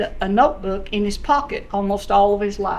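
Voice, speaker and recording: A woman is talking. Audible room echo and noticeable background noise surround her voice. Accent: American. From US South, Cades Cove, East Tennessee Smoky Mountains. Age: 70s. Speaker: local historian speaker. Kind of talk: public talk with slides. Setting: presentation with live audience.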